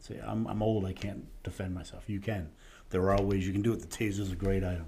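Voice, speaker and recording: A man speaks very fast in a dark, mellow tone, somewhat breathy, with audible room echo. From Rhode Island. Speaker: safety trainer, retired police officer. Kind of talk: interview.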